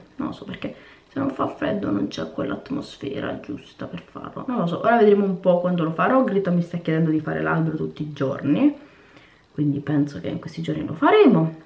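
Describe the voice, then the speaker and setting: With audible room echo, a woman talks at a fairly quick pace in a fairly low pitch, her pitch swinging very widely. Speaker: cooking and lifestyle vlogger; vlogger. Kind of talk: casual vlog chat to camera. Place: home room. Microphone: phone near.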